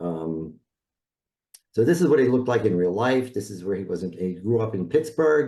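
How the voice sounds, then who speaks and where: In a New York accent, a man with a dark, mellow tone and fairly low pitch speaks at a moderate pace with very wide pitch swings. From New York City (South Bronx). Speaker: branding expert, designer. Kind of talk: presentation.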